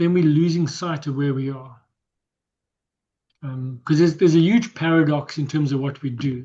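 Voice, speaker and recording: A man speaks at a fairly high pitch with a somewhat breathy, dark, mellow tone. His intonation is fairly even, his pace moderate, and his pauses long and frequent. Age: 60s. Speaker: health coach workshop presenter. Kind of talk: workshop presentation. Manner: halting, repetitive.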